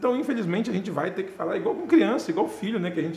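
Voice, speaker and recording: Noticeable background noise fills the clip. Over it, a man talks with lively intonation. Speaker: real estate businessman and speaker. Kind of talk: casual interview chat.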